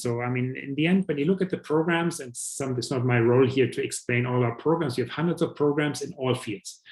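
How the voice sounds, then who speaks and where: Speaking fairly quickly with a German accent, a man keeps a medium pitch and fairly even intonation. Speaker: professor. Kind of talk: presentation. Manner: halting, many fillers.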